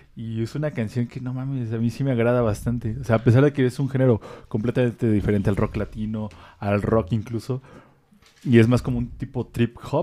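Speaking at a fairly quick pace, a man with a medium pitch has a dark, mellow tone and fairly even intonation. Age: 20s. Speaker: music podcast co-host. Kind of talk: casual chat.

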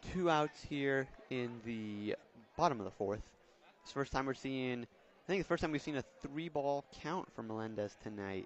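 A man's unremarkable speaking voice at a medium pitch, with lively intonation and a moderate pace. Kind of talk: live baseball commentary. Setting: ballpark broadcast. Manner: play-by-play, conversational, relaxed with occasional laughs.

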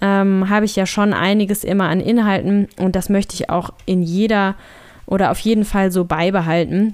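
Monotone and flat in intonation, a woman of medium pitch talks at a moderate pace with very even loudness. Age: 30s. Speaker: podcaster and blogger. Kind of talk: solo podcast monologue.

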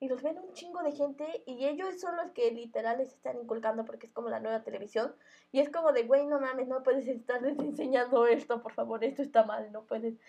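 A woman talks at a fairly quick pace with hardly any pauses, her high pitch paired with big swings in loudness. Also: ordinary pitch variation. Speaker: podcast co-host. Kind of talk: casual chat.

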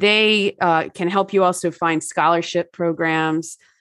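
A woman with an American accent, fairly low pitch, fairly even intonation, a normal speaking voice, and a fairly slow pace. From New Jersey. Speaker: wellness author. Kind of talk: casual interview chat.

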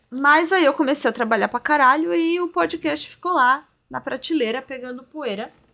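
In a raised, projected voice, a woman speaks at a high pitch with a bright, sharp tone and lively intonation. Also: moderate pace. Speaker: podcast co-host. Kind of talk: casual chat.

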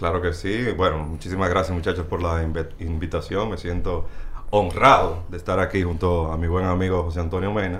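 The voice runs at a fairly quick pace in a flat monotone, with audible room echo and noticeable background noise. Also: man, very deep, low pitch for a man. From Dominican Republic. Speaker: baseball stats website creator, former sports journalist. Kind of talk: casual chat.

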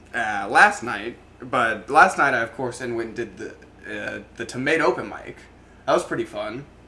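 Noticeable noise sits in the background. A man speaks over it at a moderate pace. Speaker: podcast host. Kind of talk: casual live comedy chat, profane. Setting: live online show.

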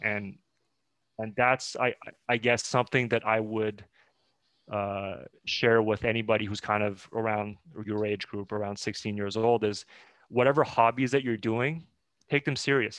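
Pausing long and often, a man speaks at a moderate pace with a fairly low pitch and fairly even intonation. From Montreal, Canada. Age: 30s. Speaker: hockey consultant. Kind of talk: interview.

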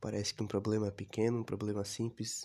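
Here a man speaks in a dark, mellow tone. His voice is somewhat breathy and his intonation monotone and flat. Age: 20s. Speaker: podcaster. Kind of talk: personal monologue. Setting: recording alone.

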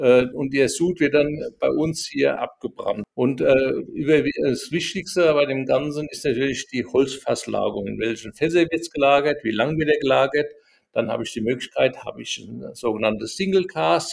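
A man keeps a moderate pace and leaves hardly any pauses. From Rheinhessen, Germany. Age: 60s. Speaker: distiller and former winemaker. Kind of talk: casual interview chat. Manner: hesitant, many filler sounds.

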